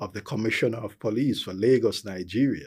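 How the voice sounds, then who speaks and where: A man with a Jamaican accent in a very clean recording with a silent background. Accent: flat Jamaican. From Jamaica, rural Clarendon. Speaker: tourism executive. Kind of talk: interview.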